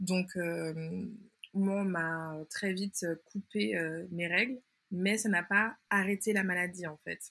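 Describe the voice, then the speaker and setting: A bright, sharp tone at a very slow pace, with ordinary pitch variation and long, frequent pauses. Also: woman, medium pitch for a woman. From Martinique. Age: 20s. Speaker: anthropologist and patient expert. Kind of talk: interview testimony.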